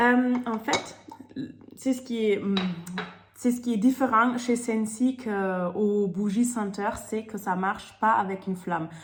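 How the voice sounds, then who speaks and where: The speaker is a woman with a fairly high pitch. She talks at a very slow pace. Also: fairly even intonation. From Germany. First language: German (speaking French). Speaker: sales consultant. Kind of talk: product presentation. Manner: hesitant, many fillers.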